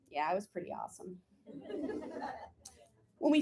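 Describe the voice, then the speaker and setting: With an American accent, a woman speaks at a medium pitch using lively intonation. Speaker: actor and playwright. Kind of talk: autobiographical solo play reading.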